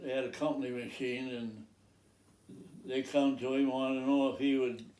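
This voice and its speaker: A man talks in a medium pitch. Room echo is audible. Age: 90s. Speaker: farmer. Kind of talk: casual chat. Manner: halting.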